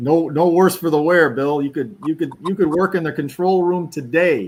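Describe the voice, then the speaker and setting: A man's normal speaking voice, as in "a normal speaking voice", fairly high in pitch with ordinary pitch variation, a moderate pace, hardly any pauses and a very clean recording with a silent background. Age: 50s. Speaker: live stream host. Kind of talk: casual live commentary. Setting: recorded stream, not live.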